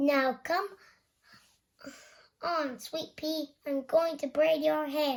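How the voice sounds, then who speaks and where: A woman puts on a squeaky, high-pitched character voice with fairly even intonation. She speaks very slowly, with long, frequent pauses. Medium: read story.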